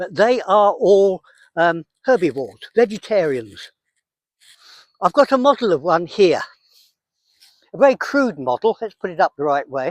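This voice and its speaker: On a very clean, dry, close recording with no echo and a silent background, a man with a southern English accent and a high pitch speaks at a moderate pace, with very wide pitch swings and long, frequent pauses. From England. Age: 80s+. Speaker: wildlife conservationist. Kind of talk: outdoor nature walk explanation. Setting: outdoors.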